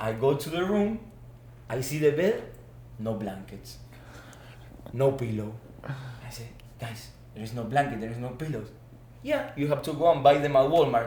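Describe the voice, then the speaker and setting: In an Argentine accent, a man speaks with big swings in loudness and long, frequent pauses, and audible room echo surrounds his voice. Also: medium pitch for a man, lively intonation, moderate pace. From Argentina. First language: Spanish. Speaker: former student athlete, business manager. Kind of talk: podcast interview. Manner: animated.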